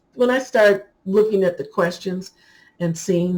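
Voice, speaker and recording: A woman with a somewhat breathy, dark, mellow voice speaks at a medium pitch and a fairly slow pace. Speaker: hair care YouTuber. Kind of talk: casual tutorial talk to camera. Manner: animated.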